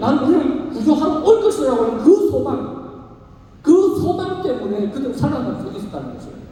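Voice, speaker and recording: A man's extremely high-pitched voice has lively intonation. Noticeable background noise and audible room echo fill the recording. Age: 60s. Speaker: pastor. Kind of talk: sermon. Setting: church service with youth audience.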